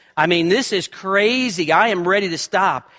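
Raised and projected, a man's high-pitched voice comes through with a bright, sharp tone. He speaks with an American accent. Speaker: pastor. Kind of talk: sermon. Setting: church. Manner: loud.

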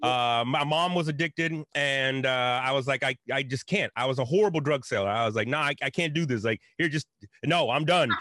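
With an American accent, a man speaks in a plain, everyday voice at a fairly quick pace and fairly high pitch, using ordinary pitch variation and very even loudness. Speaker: religion scholar. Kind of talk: casual chat.

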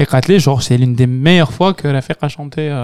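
A man's medium-pitched voice at a moderate pace, with ordinary pitch variation and a dry, close sound free of echo. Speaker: podcast host. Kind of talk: casual chat.

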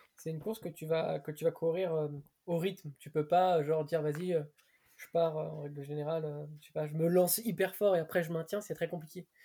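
The voice has a dark, mellow tone and fairly even intonation, captured in a very clean recording with a silent background. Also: man. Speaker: podcast co-host, runner. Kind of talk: casual interview. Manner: hesitant, fillers.

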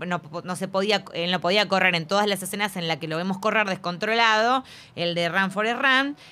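On a very clean recording with a silent background, a woman speaks at a moderate pace in a medium pitch, her bright, sharp tone showing ordinary pitch variation. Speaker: film podcast host. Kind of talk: casual chat.

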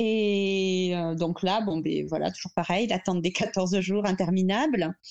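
A woman's dark, mellow voice at medium pitch, fairly slow in pace, with ordinary pitch variation. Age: 30s. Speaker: mother sharing fertility story. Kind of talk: testimony. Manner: halting.

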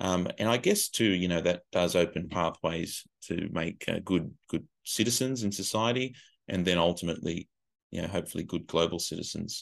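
Over a quiet background, a man with an Australian accent speaks at a very deep, low pitch. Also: ordinary pitch variation, moderate pace. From Australia, Illawarra region of New South Wales. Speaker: educator and education consultant. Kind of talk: casual interview.

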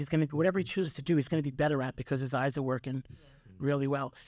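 The voice has an American accent on a very clean recording with a silent background. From New York (Yonkers). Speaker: optometrist. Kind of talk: interview.

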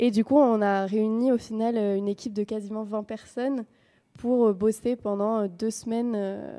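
The voice has a dark, mellow tone with fairly even intonation and big swings in loudness. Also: woman. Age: 20s. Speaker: film technician and association co-founder. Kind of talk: interview. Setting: studio. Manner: hesitant, many fillers.

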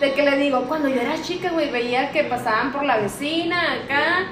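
A woman with a Mexican accent speaks at a fairly slow pace in a high pitch with lively intonation. Audible room echo and music can be heard in the background. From Mexico, Aguascalientes. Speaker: podcast host. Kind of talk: casual chat.

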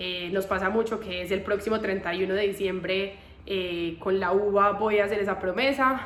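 Speaking at a fairly slow pace, a woman with a medium pitch and fairly even intonation is heard over noticeable background noise and audible room echo. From Colombia. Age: 20s. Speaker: podcaster. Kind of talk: personal monologue. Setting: temporary spot in Bogotá.

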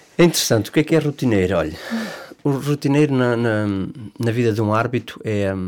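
Here a man talks at a fairly quick pace. His medium-pitched voice has lively intonation. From Portugal, Leiria district. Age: 30s. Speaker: football referees' association president. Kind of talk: interview. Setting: studio. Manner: halting.

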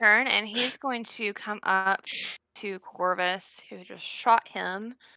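An unforced reading voice is heard here. Nothing else is layered on it.

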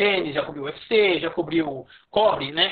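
A man speaks with ordinary pitch variation. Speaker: sports journalist. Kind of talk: interview.

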